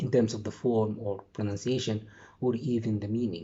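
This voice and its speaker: Speaking fairly slowly, a man with an Arabic accent uses a medium pitch. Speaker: English teacher trainer. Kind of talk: lecture. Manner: halting.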